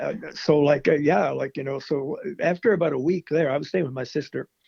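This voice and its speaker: In a Maritime Canadian accent, a man speaks at a fairly high pitch. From Nova Scotia, Canada. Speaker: country musician. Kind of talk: interview answer.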